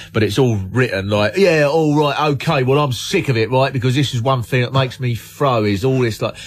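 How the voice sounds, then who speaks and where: A man talks at a fairly quick pace in a normal speaking voice, with a medium pitch and ordinary pitch variation. His loudness stays very even, with hardly any pauses. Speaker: comedian, guest on radio show. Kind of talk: radio banter.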